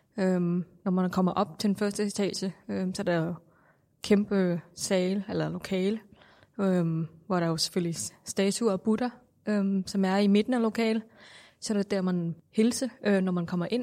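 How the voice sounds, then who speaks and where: In a Thai accent, a woman with a dark, mellow tone and medium pitch speaks at a fairly slow pace with fairly even intonation on a very clean recording with a silent background. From Thailand. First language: Thai (speaking Danish). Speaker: Buddhist interviewee. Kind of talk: interview. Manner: halting.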